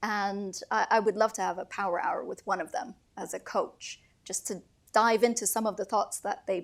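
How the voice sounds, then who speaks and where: In a Turkish accent, a woman speaks at a fairly high pitch with ordinary pitch variation. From Turkey. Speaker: finance executive, panelist. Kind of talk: panel discussion.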